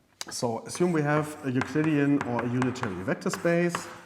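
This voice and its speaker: Audible room echo and noticeable background noise surround a man's voice. He talks with a fairly high pitch and lively intonation. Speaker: university math lecturer. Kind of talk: lecture. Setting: lecture room recording. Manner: louder than usual at times; halting, many fillers.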